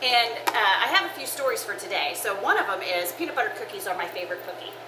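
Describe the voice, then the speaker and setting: A woman talks loudly and very fast in a fairly high pitch with very wide pitch swings. Background noise is noticeable. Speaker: church women's ministry cooking show host. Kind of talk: casual cooking show chat. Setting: kitchen with oven fans running. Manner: chatty, with fillers.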